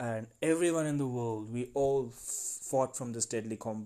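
A man's dark, mellow voice at medium pitch, with ordinary pitch variation and a moderate pace, in a very clean recording with a silent background. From India. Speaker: podcast host. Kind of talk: monologue, serious appeal. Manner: earnest, emphatic.

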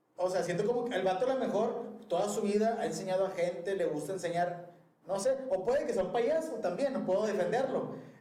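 A high-pitched man at a fairly quick pace with ordinary pitch variation, plus audible room echo and noticeable background noise. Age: 30s. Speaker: podcast co-host, office worker. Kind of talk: casual chat.

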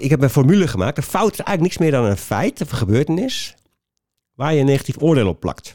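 The pitch swings very widely from high to low. The sound is dry and close, with no echo. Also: man. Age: 50s. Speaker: trainer and author on failure. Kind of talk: casual interview.

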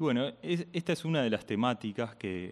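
A man's voice with lively intonation. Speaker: radio host. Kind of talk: interview.

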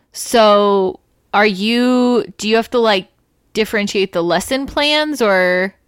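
The recording is very clean, with a silent background. A woman speaks very slowly at a fairly high pitch, with ordinary pitch variation. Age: 20s. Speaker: teacher and podcast co-host. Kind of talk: casual chat.

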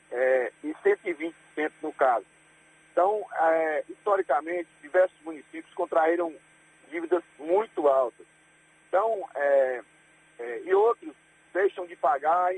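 A man with a high pitch speaks at a very slow pace, leaving long, frequent pauses. His pitch varies in an ordinary way, his loudness swings widely, and the sound is dry and close with no echo. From Bahia, Brazil. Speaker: mayor. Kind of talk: radio interview. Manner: halting.

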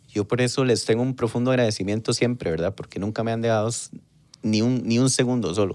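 A man with a normal speaking voice talks at a fairly quick pace, his medium pitch showing ordinary variation. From Costa Rica, Pérez Zeledón. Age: 30s. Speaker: politician. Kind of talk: casual chat.

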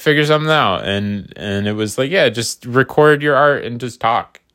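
In a very clean recording with a silent background, a man of medium pitch uses an ordinary speaking voice with ordinary pitch variation. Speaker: podcaster and artist. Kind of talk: casual solo ramble. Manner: rambling, casual, self-deprecating.

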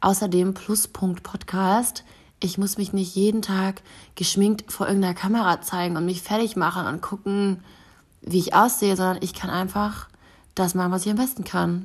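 A woman speaks at a moderate pace and medium pitch, somewhat breathy, with monotone, flat intonation. The recording is very clean with a silent background. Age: 20s. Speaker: podcast host and influencer. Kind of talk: casual solo monologue. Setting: at home on her couch. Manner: chatty, with frequent fillers and laughs.

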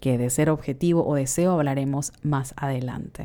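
A woman with a Panamanian accent speaks at a moderate pace in a very deep, low pitch, her tone dark and mellow and her pitch varying in an ordinary way. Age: 30s. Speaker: podcast host. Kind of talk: reflective solo monologue.

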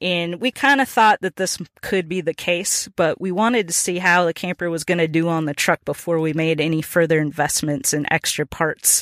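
A woman with an American accent has a plain, everyday voice, fairly low in pitch with ordinary variation, and she speaks with hardly any pauses. The sound is dry and close, with no echo. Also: moderate pace, very clean recording, silent background. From Minnesota. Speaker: podcast host. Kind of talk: solo podcast monologue. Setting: in a truck.

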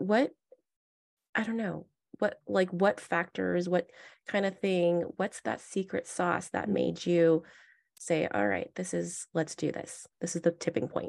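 A normal speaking voice, a woman's fairly low pitch moves with lively intonation at a fairly slow pace, the sound dry and close with no echo. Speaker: podcast host. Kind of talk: casual interview chat.

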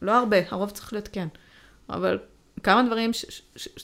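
The background is silent on a very clean recording. A woman talks at a very fast pace. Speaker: podcast co-host. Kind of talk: casual chat.

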